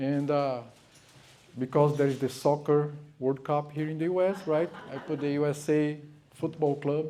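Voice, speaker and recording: A man with a Brazilian accent and a fairly high pitch speaks in a monotone, flat intonation at a moderate pace, with long, frequent pauses. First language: Portuguese. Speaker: speaker on spirituality. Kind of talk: lecture. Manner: hesitant, many fillers.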